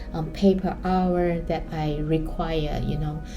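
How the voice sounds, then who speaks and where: Music plays in the background as the speaker, with a Chinese accent, talks at a very slow pace in a monotone, flat intonation, with audible room echo. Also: woman. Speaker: art vlogger and student. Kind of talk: personal vlog. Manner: hesitant, with fillers.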